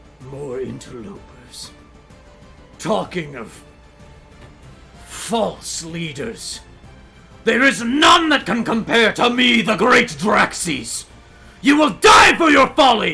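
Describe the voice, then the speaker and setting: A man speaks in a put-on character voice, pitched high and delivered very slowly. Long pauses come often, with faint music behind him. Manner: arrogant, menacing.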